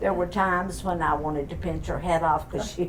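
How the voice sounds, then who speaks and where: A woman with a Southern US accent speaks amid audible room echo and noticeable background noise. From Florida, US South. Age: 80s+. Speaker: family elder sharing memories. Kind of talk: casual family chat.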